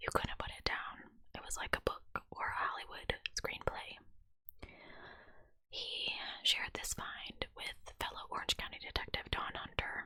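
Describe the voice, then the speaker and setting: A woman's whisper broken by long, frequent pauses, with noticeable background noise. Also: moderate pace. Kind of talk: whispered true crime narration. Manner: whispered, soft.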